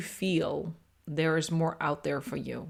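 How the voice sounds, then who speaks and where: Speaking very slowly, a woman with fairly low pitch and vocal fry comes through on a very clean recording with a silent background. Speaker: podcast host and astrology coach. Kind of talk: solo podcast monologue. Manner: reflective, conversational.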